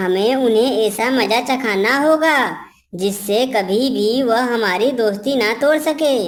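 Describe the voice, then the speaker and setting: A female-sounding cartoonish character voice, fairly high in pitch and very slow, on a very clean recording with a silent background. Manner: warm, sincere, reassuring.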